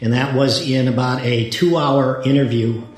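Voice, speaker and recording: A man speaks with audible room echo. Noticeable background noise sits behind him. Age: 70s. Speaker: retired lawyer. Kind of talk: interview testimony. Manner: halting, with repetitions.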